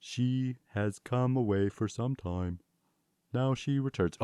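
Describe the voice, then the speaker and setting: This man uses a put-on character voice at a medium pitch. He delivers it at a fairly slow pace. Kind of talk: archaic, dramatic. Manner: ominous, solemn.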